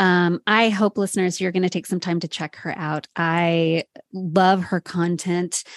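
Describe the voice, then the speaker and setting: A woman talks at a fairly slow pace and a fairly low pitch, with monotone, flat intonation. The background is quiet and the sound is dry and close with no echo. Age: 40s. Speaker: podcast host. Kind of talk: casual interview chat.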